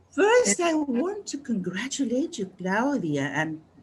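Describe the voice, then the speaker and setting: Very slow, somewhat breathy speech from a woman. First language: Spanish. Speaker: retired university English teacher. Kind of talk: casual remarks in online meeting. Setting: video call. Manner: halting.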